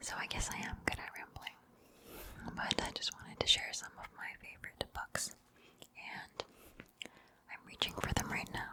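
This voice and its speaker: Whispering at a moderate pace with long, frequent pauses, a woman's voice shows big swings in loudness over noticeable background noise. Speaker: ASMR creator. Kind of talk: casual rambling book review. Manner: whispered.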